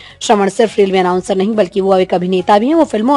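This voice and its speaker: A woman speaks at a medium pitch with ordinary variation. Music plays behind her. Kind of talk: news report narration.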